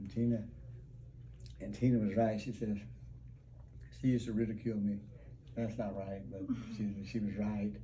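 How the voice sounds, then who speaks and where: Over audible room echo, a man with a fairly low pitch talks at a fairly quick pace in a somewhat breathy voice. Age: 60s. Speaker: testimonial patient. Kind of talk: testimony.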